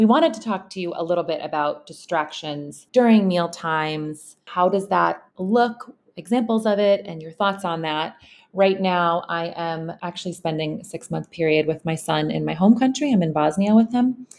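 On a very clean recording with a silent background, a woman with a plain, everyday voice speaks fairly low, with ordinary pitch variation, at a moderate pace, with hardly any pauses and big swings in loudness. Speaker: podcast host. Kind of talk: casual interview.

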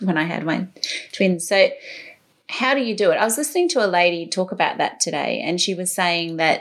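Speaking at a fairly quick pace, the woman talks with an Australian accent. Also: medium pitch for a woman, ordinary pitch variation. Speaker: podcast and radio host. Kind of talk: interview conversation.

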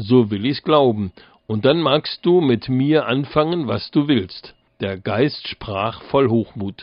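Lively in intonation, a man with a medium pitch speaks at a very slow pace. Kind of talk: fairy tale narration, read aloud with character voices.

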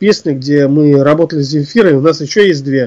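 Lively intonation marks this man's speech. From Russia, Ufa, Bashkortostan. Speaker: composer and musician. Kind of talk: interview.

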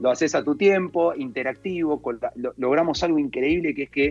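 Over music in the background, a man with a Rioplatense accent talks at a moderate pace with lively intonation. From Argentina, La Plata. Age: 40s. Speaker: entrepreneur and speaker. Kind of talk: casual interview.

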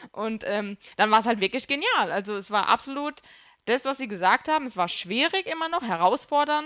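A woman at a high pitch with very wide pitch swings and a bright, sharp tone, moderate pace, dry and close with no echo. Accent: Bavarian. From Kurpfalz, Germany. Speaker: gaming podcast guest. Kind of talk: casual chat.

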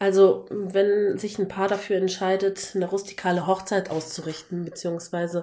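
A woman with a medium pitch talks at a fairly slow pace with monotone, flat intonation. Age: 30s. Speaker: wooden decor maker. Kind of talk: casual interview.

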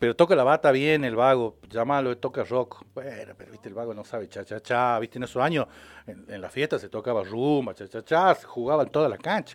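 A man with an ordinary speaking voice at a medium pitch and fairly quick pace, ordinary pitch variation, big swings in loudness, and a dry, close sound with no echo. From Salta, northwestern Argentina. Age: 50s. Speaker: documentary filmmaker, former television worker. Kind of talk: casual radio interview.

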